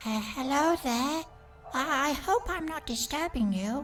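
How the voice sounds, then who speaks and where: Over clear background noise, a put-on character voice with high pitch moves at a fairly slow pace. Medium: machinima. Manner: soft, cautious.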